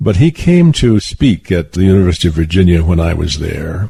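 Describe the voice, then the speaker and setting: With a dark, mellow tone and a very deep, low pitch, a somewhat breathy man speaks at a moderate pace. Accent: American. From Southwestern United States. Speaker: author and poet. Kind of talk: interview answer.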